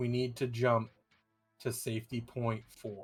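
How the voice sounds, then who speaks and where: Booming in a put-on character voice, a man keeps a medium pitch and a monotone, flat delivery at a fairly slow pace while faint music plays in the background. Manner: commanding, declarative.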